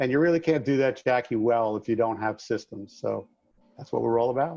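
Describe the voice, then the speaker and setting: This man speaks at a medium pitch. He has a slight New York accent. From New York, Long Island. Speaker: contractor business coach and author. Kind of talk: podcast interview.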